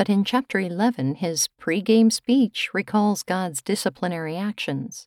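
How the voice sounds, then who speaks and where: A woman with a plain, everyday voice, medium pitch, moderate pace and ordinary pitch variation, in a very clean recording with a silent background. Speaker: devotional host. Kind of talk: devotional reflection.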